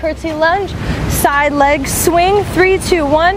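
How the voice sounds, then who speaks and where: A woman's very slow speech with ordinary pitch variation, dry with no echo, over noticeable background noise. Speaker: fitness instructor. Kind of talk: workout coaching. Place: beach.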